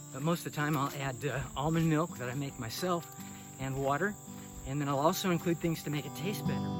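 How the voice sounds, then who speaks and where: A man with a fairly high voice speaks while music runs behind him. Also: ordinary pitch variation, fairly quick pace. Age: 70s. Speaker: vlogger. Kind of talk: casual monologue. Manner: halting.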